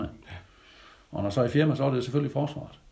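This man's voice sits at a fairly high pitch and carries vocal fry. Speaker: retired military instructor. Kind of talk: interview.

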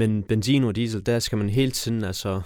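The recording is very clean with a silent background. In it, a man talks in a fairly low voice. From Afghanistan, raised in Denmark. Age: 30s. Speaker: mayoral candidate, politician. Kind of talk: interview.

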